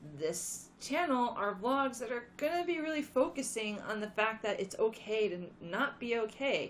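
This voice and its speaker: Lively intonation at a fairly slow pace. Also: woman. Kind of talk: casual talk to camera. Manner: quiet.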